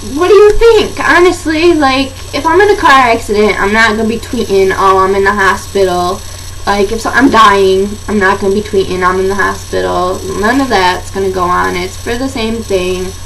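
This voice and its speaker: With an American accent, a woman talks at a moderate pace amid noticeable background noise and audible room echo. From Michigan. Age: young. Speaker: vlogger with chronic pain. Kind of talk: casual chat.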